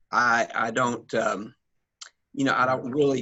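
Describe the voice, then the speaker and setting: Fairly slow delivery from a man at a medium pitch. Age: 60s. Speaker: pastor. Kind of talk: audience question. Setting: ministers conference. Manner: hesitant, many fillers.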